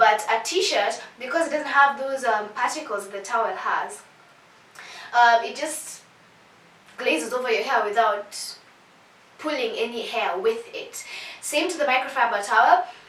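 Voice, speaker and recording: A woman speaks in a high, animated voice with lively intonation. She pauses long and often, with noticeable background noise behind her. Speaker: beauty vlogger. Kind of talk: tutorial. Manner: fast.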